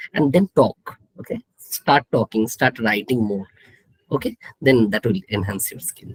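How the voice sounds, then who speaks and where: Somewhat breathy and in a Bengali accent, the voice moves at a moderate pace with lively intonation, the sound dry and close with no echo. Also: man. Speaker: statistics professor. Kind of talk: live panel Q&A.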